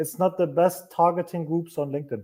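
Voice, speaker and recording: A man with a non-native accent speaks at a high pitch in a dark, mellow tone. His intonation is fairly even. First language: not English. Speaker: marketing agency owner. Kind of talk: interview on a live stream.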